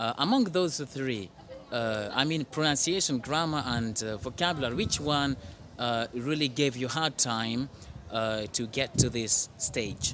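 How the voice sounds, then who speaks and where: At a fairly slow pace, a man speaks in a normal speaking voice, medium in pitch with ordinary pitch variation. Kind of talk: interviewer questions.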